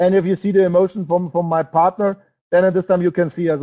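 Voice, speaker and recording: Fairly quick in pace, a man talks in a high voice with a German accent. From Germany or Austria. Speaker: network marketing presenter. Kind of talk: sales webinar presentation. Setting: online webinar broadcast. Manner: halting, with fillers and restarts.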